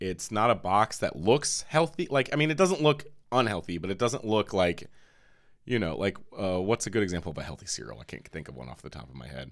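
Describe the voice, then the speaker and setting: With vocal fry and a fairly low pitch, a man talks at a fairly quick pace, his voice making very wide pitch swings and big swings in loudness, all on a very clean recording with a silent background. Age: 30s. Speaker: podcast host. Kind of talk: casual chat.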